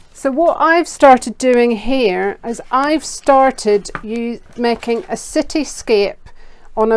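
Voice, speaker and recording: A woman with a Northern Irish accent speaks at a high pitch. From Northern Ireland. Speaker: children's art teacher. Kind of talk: kids' craft tutorial. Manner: enthusiastic.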